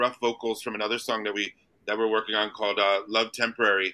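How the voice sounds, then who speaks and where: In a very clean recording with a silent background, a man speaks very fast in a bright, sharp tone. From US Northeast (New Jersey). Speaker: singer. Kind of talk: casual interview chat. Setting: live show at a restaurant.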